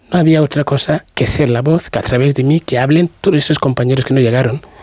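A man talks at a fast pace. His tone is slightly mellow.

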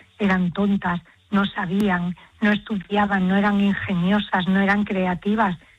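A woman with a medium pitch and a slightly husky edge speaks at a moderate pace, her pitch moving very little.

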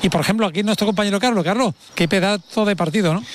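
A man with a high-pitched voice at a very fast pace. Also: ordinary pitch variation.

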